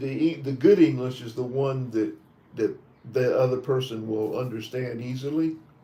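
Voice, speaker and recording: With an American accent, a man speaks at a medium pitch and a moderate pace with fairly even intonation. His voice is somewhat breathy and has a dark, mellow tone. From US South, Tennessee. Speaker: visa interview trainer. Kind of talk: mock visa interview. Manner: halting.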